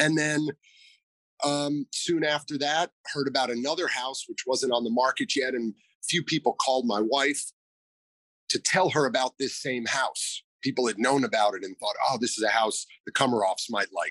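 With an American accent, the voice has a bright, sharp tone in a dry, close sound with no echo. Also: man, fairly high pitch for a man, ordinary pitch variation, moderate pace. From New York City (Manhattan). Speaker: store owner. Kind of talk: interview.

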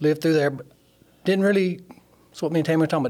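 A man with an Alabama accent and fairly even intonation. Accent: Southern US (Alabama). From US South, Alabama (Sheffield). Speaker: nuclear plant instrument mechanic. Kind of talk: testimony.

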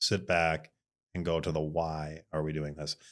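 Speaking at a fairly slow pace, a man with an Upper Midwest accent and a very deep, low pitch is heard on a very clean recording with a silent background. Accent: Upper Midwest American. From Minnesota, Bloomington. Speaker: design studio owner. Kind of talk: casual interview chat.

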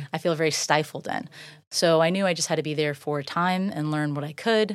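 A woman with an ordinary speaking voice talks at a fairly low pitch and a moderate pace, in an American accent. The recording is very clean, with a silent background. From Florida, Tampa Bay area (Safety Harbor). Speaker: serial entrepreneur and real estate agent. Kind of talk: casual interview. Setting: studio.

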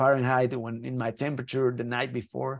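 A man with a Spanish accent and a medium pitch, over a quiet background. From Mexico. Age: 30s. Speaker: Paralympic skier. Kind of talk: interview. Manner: halting with many repetitions.

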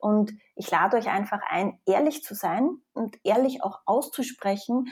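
Woman with a slight Austrian accent, a dark, mellow tone and a very slow pace, on a very clean recording with a silent background. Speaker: psychologist. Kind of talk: interview.

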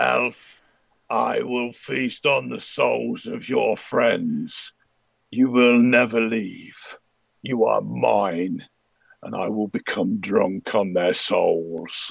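Here a man puts on a character voice. He speaks at a very slow pace. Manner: menacing, gloating.

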